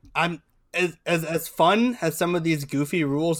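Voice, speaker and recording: In a very clean recording with a silent background, a man with a plain, everyday voice and fairly high pitch talks at a moderate pace with ordinary pitch variation. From Ohio, Cincinnati area. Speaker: soccer podcast co-host. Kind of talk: casual chat.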